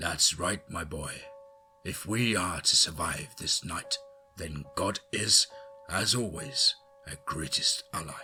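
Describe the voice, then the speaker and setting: Faint music plays in the background as a man in a raspy put-on character voice, at medium pitch, talks at a fairly slow pace. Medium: read story. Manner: calm, paternal.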